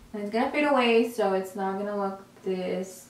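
Loud background noise and audible room echo surround the recording. A woman speaks with ordinary pitch variation. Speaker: beauty vlogger. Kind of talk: makeup tutorial. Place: home room.

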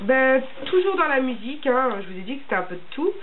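The speaker is a woman. Her pitch is high. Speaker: beauty vlogger. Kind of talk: casual vlog chat. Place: home room. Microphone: camera far.

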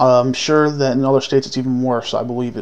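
The speaker is a man. His intonation stays monotone and flat. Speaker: gun reviewer, video creator. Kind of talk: product review video. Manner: halting, many fillers. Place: home room. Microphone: phone near.

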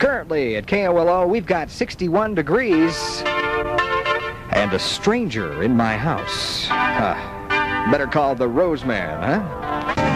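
A man at a very slow pace with hardly any pauses, dry sound with no echo, and clear music in the background. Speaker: radio DJ. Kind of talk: country radio DJ patter. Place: studio. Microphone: old recording.

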